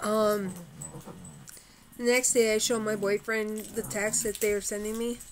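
Background noise is noticeable. A woman speaks at a moderate pace with a fairly high pitch. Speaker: vlogger. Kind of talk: casual chat. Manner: animated. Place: home room. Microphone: webcam.

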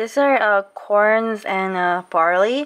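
The speaker has a Korean accent and ordinary pitch variation. The background is quiet. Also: woman. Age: 20s. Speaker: vlogger. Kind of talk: casual chat. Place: kitchen. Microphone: phone near.

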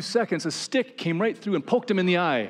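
Lively intonation from a man at a moderate pace

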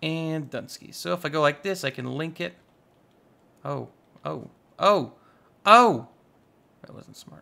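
Speaking at a fairly slow pace with long, frequent pauses, a man sounds animated as his loudness swings widely. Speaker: gaming YouTuber. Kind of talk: casual gameplay commentary. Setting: recorded voiceover while playing. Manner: animated, jokey.

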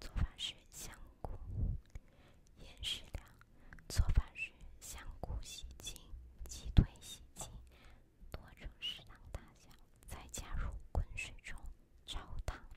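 A woman whispers at a fairly slow pace, with long pauses coming often. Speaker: ASMR creator. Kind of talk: ASMR recipe reading. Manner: whispered. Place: home room. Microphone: studio mic.

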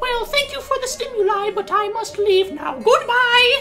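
A female-sounding put-on character voice at an extremely high pitch and a moderate pace, with clear background noise. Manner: haughty, regal.

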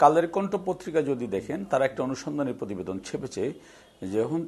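A man talks with lively intonation at a fairly high pitch. Vocal fry runs through his voice. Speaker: ruling party publicity official. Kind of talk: televised political debate.

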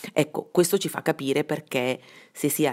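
A woman with vocal fry speaks at a moderate pace. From Bergamo, northern Italy. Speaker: investigative journalist. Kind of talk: interview. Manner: hesitant, many fillers.

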